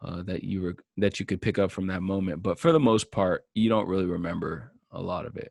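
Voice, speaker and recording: A man's very deep, low voice with an American accent, dry and close with no echo, on a very clean recording with a silent background. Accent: slight Southern, some say Californian. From US South, Georgia (Marietta). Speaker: musician. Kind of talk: solo podcast monologue. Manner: halting, many fillers.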